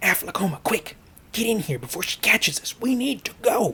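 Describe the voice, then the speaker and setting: In a put-on character voice, the speaker whispers with a hissing edge at a fairly quick pace. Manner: hissing, urgent.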